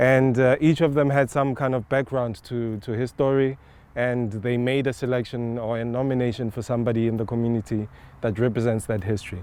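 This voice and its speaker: Speaking in a Botswana accent, a man at medium pitch uses a dark, mellow tone with fairly even intonation at a fairly quick pace. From South Africa. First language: Setswana. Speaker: artist, sculptor. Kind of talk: on-site interview, explaining an artwork. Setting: outdoors in a park. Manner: hesitant, many filler words and repetitions.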